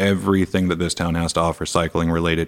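Speaking at a very fast pace, a man with an American accent keeps a monotone, flat intonation and a very deep, low pitch. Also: very clean recording, silent background. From US Pacific Northwest (Seattle). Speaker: motocross and downhill mountain bike athlete. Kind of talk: casual interview. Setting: studio.

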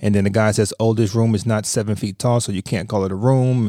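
This man has a dark, mellow tone at a fairly low pitch and talks at a fairly quick pace with fairly even intonation. The recording is very clean, with a silent background. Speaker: podcast co-host and real estate agent. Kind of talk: casual chat.

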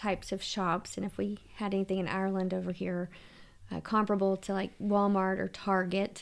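This very clean recording has a silent background. The voice carries a Southern US accent. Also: woman. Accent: Southern American. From US South, Louisiana (Shreveport). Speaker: podcast co-host and tour guide. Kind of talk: casual chat.

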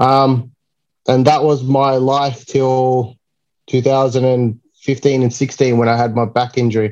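With an Australian accent, a man speaks at a very slow pace in a medium pitch, his intonation monotone and flat and his loudness very even. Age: 30s. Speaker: comic cover artist. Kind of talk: casual chat.

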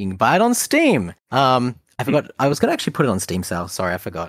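A man talks with an Australian accent at a very fast pace. His voice moves in very wide pitch swings. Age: 30s. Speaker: video game designer. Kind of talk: casual chat. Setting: video call.

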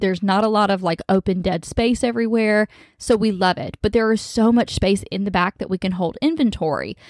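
In an animated tone, a woman talks at a fairly quick pace with hardly any pauses, a medium pitch and ordinary pitch variation, on a dry, close recording with no echo. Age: 20s. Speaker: podcast host and boutique owner. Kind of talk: casual monologue.

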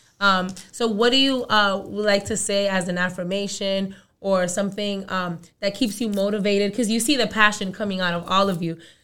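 A woman with a New York accent speaks at medium pitch in a bright, sharp tone. Her intonation stays fairly even at a moderate pace. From Brooklyn, New York. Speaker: college and career counselor, podcast co-host. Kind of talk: casual chat.

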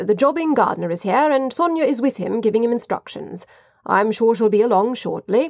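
Using a plain, everyday voice, a woman talks at a fairly quick pace with a fairly high pitch and lively intonation. The sound is dry and close with no echo. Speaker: audiobook narrator. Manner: measured, expressive, period-flavored delivery, shifting voices for characters.

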